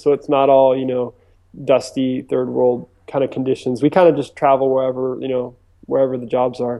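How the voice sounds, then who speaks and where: An unremarkable speaking voice. The pace is moderate. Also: man. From US East Coast, mainly Virginia Beach. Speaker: filmmaker and director. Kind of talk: interview. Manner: casual, many fillers.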